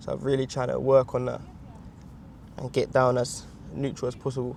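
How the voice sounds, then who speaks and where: A mumbling man at a medium pitch, fairly quick pace and monotone, flat intonation. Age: 20s. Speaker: vlogger. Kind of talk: exercise instruction; casual vlog talk. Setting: outdoors in a field. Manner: quiet, not projecting.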